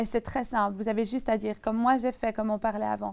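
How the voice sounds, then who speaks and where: A woman's fairly high-pitched voice with fairly even intonation. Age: 20s. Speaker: young evangelist and Bible student; young evangelist. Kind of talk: testimony. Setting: TV studio. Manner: intense, passionate. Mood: earnest faith testimony. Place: studio. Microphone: lapel.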